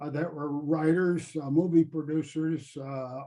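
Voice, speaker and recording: A somewhat breathy man at a fairly high pitch, dark and mellow in tone, at a moderate pace. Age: 80s+. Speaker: retired theme park ride designer. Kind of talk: interview storytelling. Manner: hesitant with frequent fillers.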